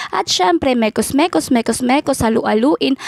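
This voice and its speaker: A woman speaks at a moderate pace with a high pitch. The sound is dry and close with no echo, though background noise is noticeable. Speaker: vlogger. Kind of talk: cooking vlog voice-over. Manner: chatty, casual.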